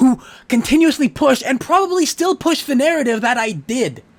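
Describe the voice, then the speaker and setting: A man speaks with lively intonation. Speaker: YouTuber ranting on dating topics. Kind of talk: rant. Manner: fast, jittery; stuttering.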